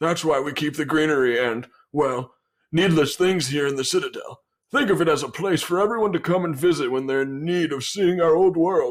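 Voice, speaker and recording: A man in a put-on character voice with a fairly high pitch. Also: fairly quick pace. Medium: actual play. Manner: courteous, smooth.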